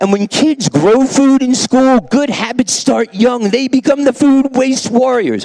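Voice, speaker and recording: With a New York accent, a man speaks in an animated tone at an extremely high pitch, the sound dry and close with no echo but with noticeable background noise. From US Northeast, New York (South Bronx). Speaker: teacher. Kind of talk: keynote talk. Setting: stage with audience.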